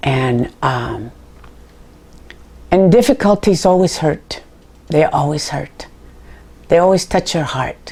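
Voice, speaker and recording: A woman speaks at a very slow pace, with long, frequent pauses and very wide pitch swings. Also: fairly low pitch for a woman. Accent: American. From US West Coast, Santa Barbara, California. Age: 70s. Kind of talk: interview testimony. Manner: halting.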